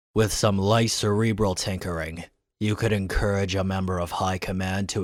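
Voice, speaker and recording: Using a put-on character voice, a man talks in a very deep, low pitch. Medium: audio drama. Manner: nervous.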